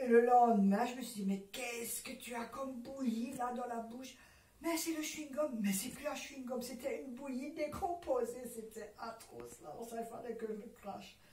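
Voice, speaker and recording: A woman with lively intonation at a fairly slow pace, over noticeable background noise. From Alsace, France. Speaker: WWII civilian witness. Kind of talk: interview answer.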